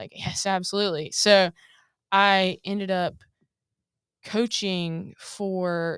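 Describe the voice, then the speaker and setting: A woman with an American accent and an unremarkable speaking voice, medium in pitch with ordinary pitch variation, in a very clean recording with a silent background and a dry, close sound with no echo. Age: 20s. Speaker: former college basketball team manager. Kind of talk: interview. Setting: studio.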